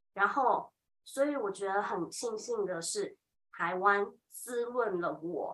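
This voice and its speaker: A woman with a Taiwanese accent talks at a very slow pace. Her medium-pitched voice has lively intonation. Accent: Taiwanese Mandarin. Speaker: high school Chinese teacher. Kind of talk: casual chat.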